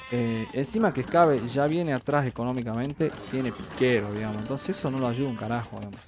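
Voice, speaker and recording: Speaking at a very fast pace with hardly any pauses, a man with a Rioplatense accent comes through dry with no echo over faint background music. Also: ordinary pitch variation. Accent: Argentine Rioplatense Spanish. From Argentina. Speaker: streamer and game caster; streamer. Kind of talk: live commentary. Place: home room.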